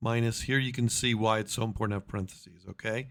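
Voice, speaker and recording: The audio is very clean, with nothing heard in the background. A man talks in a middle register. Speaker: math teacher. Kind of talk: tutorial. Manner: fast.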